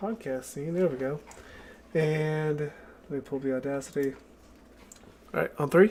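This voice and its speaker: Pausing long and often, a man talks at a moderate pace and a fairly high pitch with ordinary pitch variation. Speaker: podcast co-host. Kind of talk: casual chat. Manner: unenthusiastic.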